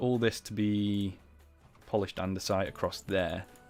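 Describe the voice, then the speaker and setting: A man with a fairly low pitch talks at a moderate pace while music plays in the background. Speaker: gaming streamer. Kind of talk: live gameplay commentary. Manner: casual, chatty.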